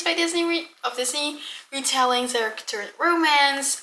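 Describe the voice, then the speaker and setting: In a Dutch accent, a woman speaks at a fairly slow pace in a raised, projected voice with a bright, sharp tone. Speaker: book vlogger. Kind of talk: casual vlog monologue. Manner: casual, with many fillers.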